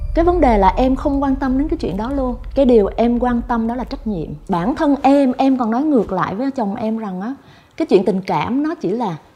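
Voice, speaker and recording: Over noticeable background noise, a woman with a high voice speaks at a fairly quick pace with lively intonation. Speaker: talk show guest. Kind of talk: talk show conversation.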